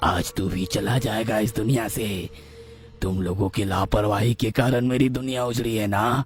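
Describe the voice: A man does a cartoonish character voice at a medium pitch and a moderate pace, with clear background noise behind him.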